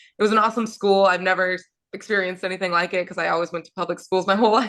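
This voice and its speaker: A woman with an American accent speaks in a bright, sharp tone with vocal fry and monotone, flat intonation. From rural Virginia, US. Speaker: professional basketball player. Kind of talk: interview. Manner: hesitant, many fillers.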